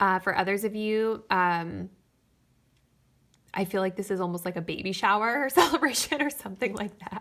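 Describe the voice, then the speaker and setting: A moderate pace broken by long, frequent pauses. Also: woman, medium pitch for a woman, ordinary pitch variation. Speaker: tarot reader. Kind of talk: tarot reading. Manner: animated.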